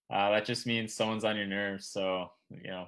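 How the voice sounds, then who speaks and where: A man with a Newfoundland accent speaks at a fairly quick pace in a fairly low, monotone voice with flat intonation. The recording is very clean, with a silent background. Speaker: junior hockey player. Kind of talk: casual interview chat. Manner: fast.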